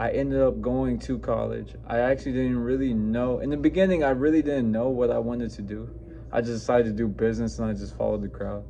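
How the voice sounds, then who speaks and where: A man speaks with music in the background. The room echo is audible. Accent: American. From New Mexico, US. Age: 20s. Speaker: fitness coach. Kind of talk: personal story vlog. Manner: casual, halting with fillers.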